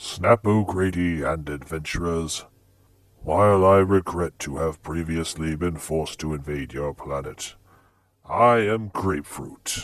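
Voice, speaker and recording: Against a quiet background, a man uses a put-on character voice pitched very deep and low, speaking at a fairly slow pace. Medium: audio drama. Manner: formal, stilted.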